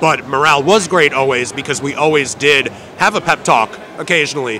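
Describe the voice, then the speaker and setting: Man at a medium pitch, with noticeable background noise. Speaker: ring announcer. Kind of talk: interview answer. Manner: casual, conversational.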